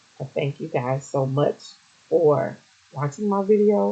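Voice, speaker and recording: Fairly slow delivery full of very wide pitch swings, over noticeable background noise. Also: woman. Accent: American. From south Louisiana (Iberville Parish), early childhood in Detroit. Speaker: genealogy vlogger. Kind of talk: educational talk to viewers. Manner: casual with frequent 'um' fillers.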